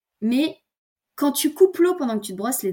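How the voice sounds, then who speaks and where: The voice is somewhat breathy and moves through very wide pitch swings. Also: woman. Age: 20s. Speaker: eco-lifestyle content creator. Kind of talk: casual interview chat. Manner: hesitant, many fillers and repetitions.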